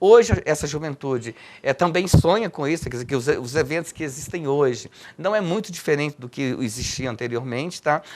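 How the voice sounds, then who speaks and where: A man's lively intonation and fairly quick pace come through in a plain, everyday voice. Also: fairly high pitch for a man. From Minas Gerais, Brazil. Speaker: poet and cultural activist. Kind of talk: interview answer.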